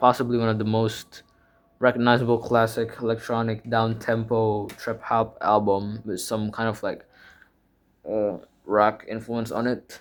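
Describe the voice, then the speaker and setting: His pace is fairly slow. The man's pitch sits at a medium level. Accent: Indonesian. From Indonesia. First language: Indonesian. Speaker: music YouTuber. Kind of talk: casual collection show-and-tell. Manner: halting, many fillers and self-corrections.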